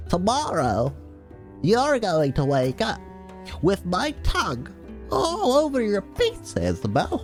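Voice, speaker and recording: Clear music plays in the background as a put-on character voice moves at a fairly slow pace with long, frequent pauses. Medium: game stream. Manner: cocky, teasing.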